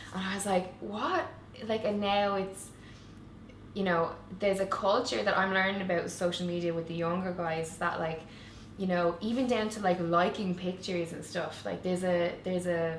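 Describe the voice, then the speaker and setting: A woman with a Waterford Irish accent speaks at a moderate pace, and some room echo can be heard. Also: medium pitch for a woman. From Ireland, Waterford. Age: 30s. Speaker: online show creator and interviewer. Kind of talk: casual chat. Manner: animated.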